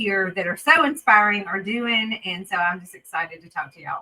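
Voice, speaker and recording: A Southern US accent carried at a fairly quick pace. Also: woman. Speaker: renal dietitian. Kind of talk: webinar talk. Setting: video webinar.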